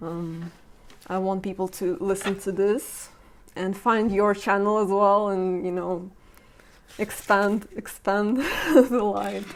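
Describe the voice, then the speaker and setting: Speaking at a very slow pace, a woman with a medium pitch keeps her intonation fairly even and leaves long, frequent pauses. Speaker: podcast host. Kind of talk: casual interview conversation. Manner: shaky voice.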